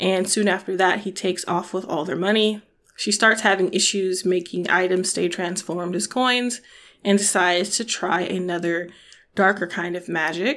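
A woman speaks at a medium pitch and a moderate pace with fairly even intonation, in an unremarkable speaking voice. The recording is very clean with a silent background. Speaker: podcast host. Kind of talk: book discussion monologue. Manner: casual, conversational.

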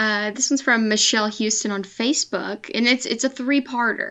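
A woman with a plain, everyday voice speaks at a moderate pace in a fairly high pitch. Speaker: editor and guest host. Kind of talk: casual chat.

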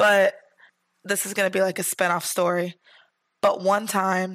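A woman talks at a moderate pace and medium pitch with monotone, flat intonation. Long, frequent pauses break up her speech. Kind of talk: casual chat.

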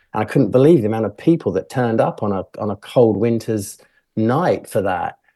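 A dark, mellow tone with a British accent, at a fairly quick pace and ordinary pitch variation, over a quiet background. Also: man, medium pitch for a man. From England. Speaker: filmmaker. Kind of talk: interview. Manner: halting, many fillers and repeats.

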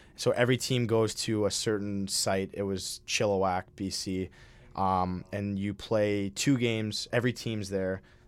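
In a very clean recording with a silent background, a man with an American accent speaks in a monotone, flat intonation. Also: fairly low pitch for a man, fairly slow pace. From Minnesota. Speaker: college ice hockey player. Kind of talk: casual interview. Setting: studio.

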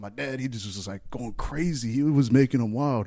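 A man at a medium pitch and a moderate pace, with ordinary pitch variation, in a very clean recording with a silent background. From Texas. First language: Spanish. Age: 20s. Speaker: podcast host. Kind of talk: casual chat. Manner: laughs often.

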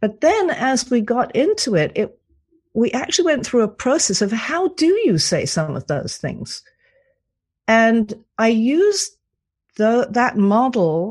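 Somewhat breathy and fairly high-pitched, a woman with a British accent speaks at a fairly slow pace with very wide pitch swings against a quiet background. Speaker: cantor, author and coach. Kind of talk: radio interview.

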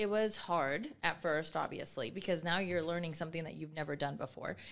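The woman's pitch is very deep and low, with ordinary pitch variation. Vocal fry runs through her speech. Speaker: nonprofit chapter president. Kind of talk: casual chat. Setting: studio.

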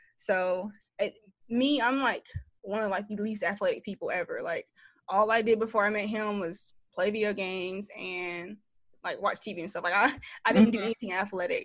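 Over a quiet background, a woman talks with a Southern US accent at a moderate pace. Her pitch is medium and her intonation fairly even. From US South, Greensboro, North Carolina. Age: 20s. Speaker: content creator. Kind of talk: casual chat.

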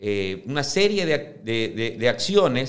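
Audible echo of the room around a male speaker, his pitch swinging very widely. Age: 50s. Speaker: businessman and football club presidential candidate. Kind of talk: interview. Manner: halting, frequent fillers and repetitions.

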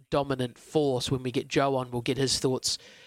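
A man speaks in a New Zealand accent at a medium pitch. His intonation stays monotone and flat. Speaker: radio host and greyhound trainer. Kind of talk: sports radio show. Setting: studio.

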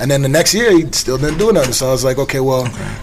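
This man's voice sits at a medium pitch. Background noise is noticeable throughout. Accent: American. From US Virgin Islands, St. Thomas. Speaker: TV show creator. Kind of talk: casual chat.

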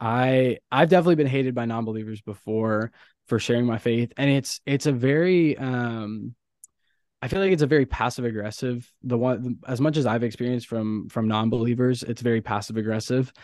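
A plain, everyday voice from a man at a medium pitch, with ordinary pitch variation. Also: fairly quick pace. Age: 20s. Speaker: college student and missionary photographer. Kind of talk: casual faith interview.

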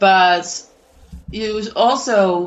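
Using ordinary pitch variation, a woman talks in a Danish accent. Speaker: philosophy professor and author. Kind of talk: interview. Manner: halting, many fillers.

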